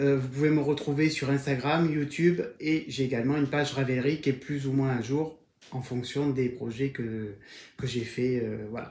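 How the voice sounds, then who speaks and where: Speaking fairly slowly in a slight southern French accent, a man with a fairly high pitch keeps his intonation fairly even, and audible room echo surrounds his voice. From southern France, Var. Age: 40s. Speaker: knitting podcaster. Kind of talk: casual video podcast monologue. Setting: at home on camera. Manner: hesitant with frequent fillers.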